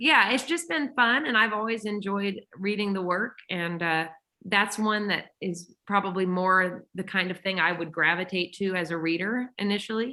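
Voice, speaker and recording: Speaking with a Texas accent and hardly any pauses, a woman has a bright, sharp tone at a medium pitch. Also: ordinary pitch variation, moderate pace. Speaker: musician, writer and audiobook narrator. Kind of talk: casual interview chat.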